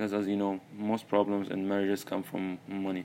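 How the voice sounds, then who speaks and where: With an Arabic accent, a man talks in a fairly low pitch and a flat, monotone delivery. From Saudi Arabia. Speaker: podcast host, university student. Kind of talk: solo monologue, personal story. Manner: halting, many repetitions and fillers.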